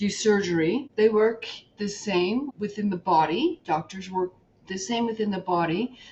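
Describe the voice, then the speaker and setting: A woman talks at a moderate pace. Hers is a normal speaking voice. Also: medium pitch for a woman, ordinary pitch variation. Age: 50s. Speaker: podcast host. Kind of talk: interview. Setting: podcast interview.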